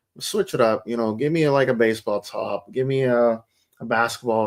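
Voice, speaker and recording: A man mumbles at a medium pitch. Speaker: soccer podcast host. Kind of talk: casual chat. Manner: mumbling.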